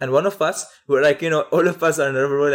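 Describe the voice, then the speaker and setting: Very fast speech comes from a man with a Syrian accent, fairly high-pitched with ordinary pitch variation. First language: Arabic. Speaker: photographer and former refugee. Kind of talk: interview. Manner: halting.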